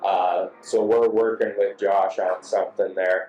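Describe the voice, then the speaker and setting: A man at a fairly slow pace, with music in the background. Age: 60s. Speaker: motorcycle show host. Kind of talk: casual interview.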